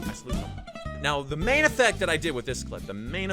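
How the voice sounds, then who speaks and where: A man talks at a very fast pace while music plays behind him. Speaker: video editing tutorial host. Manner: casual, repetitive, humorous.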